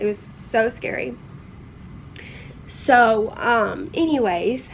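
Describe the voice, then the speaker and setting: A woman with a Southern US accent and a fairly high pitch speaks at a very slow pace with ordinary pitch variation, over noticeable background noise. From Kentucky, USA. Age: young. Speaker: vlogger living with cystic fibrosis. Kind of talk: casual story time to camera.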